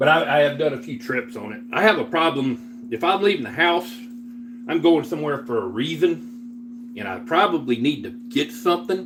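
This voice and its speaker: A man with a Southern US accent, fairly high pitch, very wide pitch swings and big swings in loudness, at a moderate pace over noticeable background noise. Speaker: livestreamer. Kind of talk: casual livestream chat while cooking. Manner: casual, relaxed with filler words.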